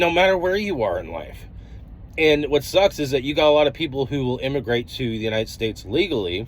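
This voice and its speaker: With an American accent, a man with a fairly high pitch speaks with lively intonation. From US, Denver, Colorado. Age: 30s. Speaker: trucker vlogger. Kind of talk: vlog monologue. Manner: casual, halting with fillers.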